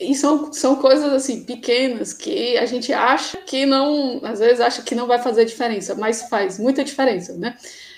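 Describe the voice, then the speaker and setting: A woman with a high-pitched voice talks at a moderate pace with hardly any pauses and ordinary pitch variation. Noticeable background noise sits behind her. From Ceará, Brazil. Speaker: nurse and acupuncturist, miles collector. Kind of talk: interview on live stream.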